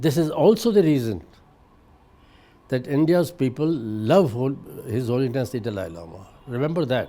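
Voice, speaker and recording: A man speaks at a moderate pace and medium pitch, his dark, mellow tone swinging widely in pitch and sharply in loudness. Long pauses come often. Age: 80s+. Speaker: journalist. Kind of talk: interview answer.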